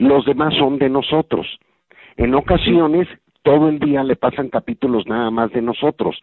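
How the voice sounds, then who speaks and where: A man talks with a Mexican accent at a moderate pace. His pitch is fairly high, with ordinary variation. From Mexico. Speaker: voice actor. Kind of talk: interview.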